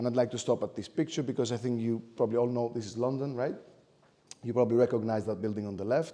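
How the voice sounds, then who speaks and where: A man with a Greek accent talks very fast at a medium pitch. His tone is dark and mellow, with fairly even intonation. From Greece. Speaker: architect and lecturer. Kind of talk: lecture. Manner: hesitant, many fillers.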